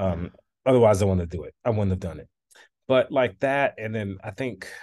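In an American accent, a man speaks with a fairly low pitch against a quiet background. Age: 20s. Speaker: composer and conductor. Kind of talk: interview.

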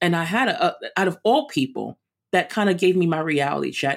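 Speaking with a New York accent, a woman has a fairly low pitch and vocal fry. She talks at a fairly quick pace with lively intonation. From Brooklyn, New York. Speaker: runner and chef. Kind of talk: interview.

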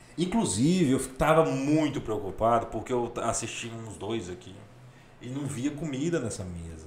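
Music plays behind a man whose pitch swings very widely. His loudness shifts in big swings. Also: medium pitch for a man. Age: 20s. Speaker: comedian and architect. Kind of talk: casual chat.

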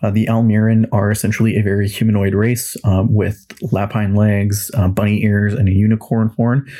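In a Western Canadian accent, a man speaks at a fairly slow pace with a fairly low pitch, a dark, mellow tone and monotone, flat intonation. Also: very clean recording, silent background. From Western Canada (Kelowna, British Columbia). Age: 20s. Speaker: podcast host and tabletop game master. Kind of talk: casual solo monologue.

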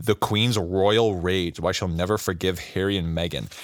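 A man speaks in an unremarkable speaking voice, fairly low in pitch, with ordinary pitch variation. The recording is very clean and dry, close-miked with no echo and a silent background. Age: 20s. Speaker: podcast co-host. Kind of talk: casual chat.

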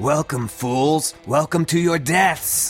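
A man speaks very slowly in a put-on character voice. Background noise is clearly audible. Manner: menacing, gleeful.

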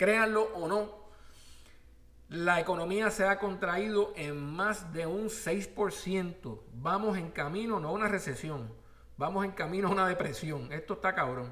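Over noticeable background noise, a man talks fairly slowly in a high pitch, his voice raised and projected with lively intonation. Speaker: podcast host. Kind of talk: opinionated news commentary monologue. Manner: animated.

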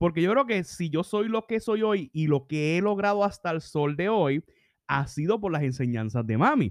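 With a Puerto Rican accent, a man speaks at a moderate pace in a high-pitched, animated voice with very wide pitch swings, against a quiet background. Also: dry, close sound with no echo. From Puerto Rico. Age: 30s. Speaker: leadership podcaster. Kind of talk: solo podcast reflection.

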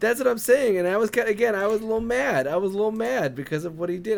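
A man is speaking. His pace is very fast. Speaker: co-host. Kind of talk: casual chat.

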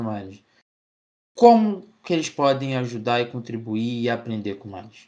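Speaking in a Rio de Janeiro accent at a moderate pace, a man's pitch swings very widely. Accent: Carioca Brazilian Portuguese. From Rio de Janeiro, Brazil. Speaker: student podcast host. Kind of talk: casual interview.

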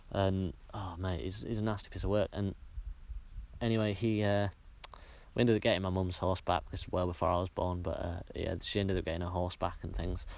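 Over a silent background in a very clean recording, a man with a Cumbrian accent talks at a fairly quick pace in a very deep, low voice with fairly even intonation. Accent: Cumbrian northern English. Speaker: podcaster. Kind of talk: casual monologue. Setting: outdoors on a hilltop. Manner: halting, many filler sounds.

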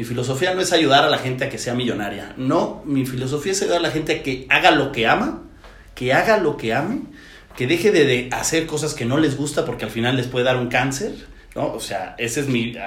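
A man with a fairly high-pitched voice speaks with ordinary pitch variation amid audible room echo and noticeable background noise. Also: fairly quick pace. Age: 30s. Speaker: entrepreneur and business coach. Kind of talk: casual interview.

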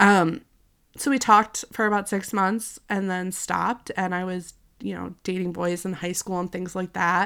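On a very clean recording with a silent background, a woman speaks at a moderate pace and medium pitch, her tone bright and sharp and her intonation fairly even. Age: 30s. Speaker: podcast host. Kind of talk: personal monologue. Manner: casual, rambling with fillers.

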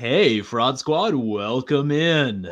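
A man puts on a character voice. His pitch sits at a medium level. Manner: spiced-up, sassy, playful.

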